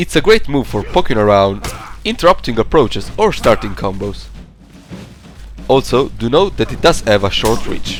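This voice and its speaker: Music plays in the background as a man with a non-native accent speaks with long, frequent pauses. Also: moderate pace. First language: not English. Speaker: video game guide creator. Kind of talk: tutorial. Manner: scripted, measured.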